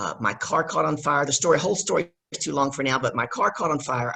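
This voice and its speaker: A woman's very deep, low voice in a Southern US accent, at a fairly quick pace. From US South, Louisiana. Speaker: business coach. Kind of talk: casual chat.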